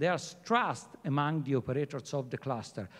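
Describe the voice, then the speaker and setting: There is lively intonation in this man's speech. He talks with an Italian accent. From Italy. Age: middle-aged. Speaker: head of a fashion sustainability program. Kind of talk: panel talk.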